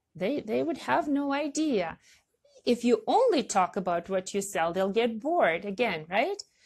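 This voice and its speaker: Against a quiet background, a woman with a non-native accent talks at a moderate pace and a fairly high pitch. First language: not English. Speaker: online marketing coach. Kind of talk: casual talk to camera. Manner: halting, many fillers.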